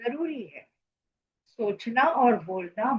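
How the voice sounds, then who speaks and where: Lively intonation from a woman with a Marathi accent. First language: Marathi (speaking Hindi). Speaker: social commentator. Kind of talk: opinion monologue.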